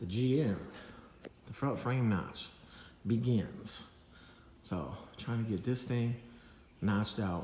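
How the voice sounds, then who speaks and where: A man speaks at a very slow pace, with long, frequent pauses and audible room echo. His medium pitch shows ordinary variation. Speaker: custom car shop owner. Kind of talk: casual workshop vlog. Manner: stuttering, disjointed.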